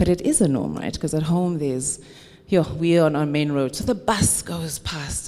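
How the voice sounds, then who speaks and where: This woman has a very deep, low pitch and an animated tone. Her pitch variation is ordinary. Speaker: paediatric health expert, conference speaker. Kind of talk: conference talk. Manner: loud.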